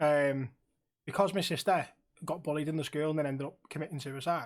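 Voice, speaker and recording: Speaking at a fairly quick pace with a Liverpool accent, a man keeps his intonation fairly even at a fairly high pitch. The recording is very clean, the background silent. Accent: Liverpool (Scouse). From Liverpool, England. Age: 30s. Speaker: streamer and podcast host. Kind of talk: casual chat.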